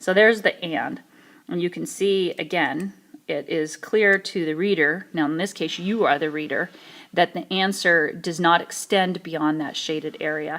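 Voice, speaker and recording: A woman with a fairly low pitch and ordinary pitch variation is heard on a very clean recording with a silent background. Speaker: math teacher. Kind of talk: tutorial. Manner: fast.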